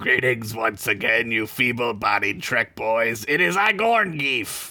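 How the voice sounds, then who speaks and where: A man's put-on character voice at a medium pitch and a fairly slow pace. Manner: gruff, mock-menacing.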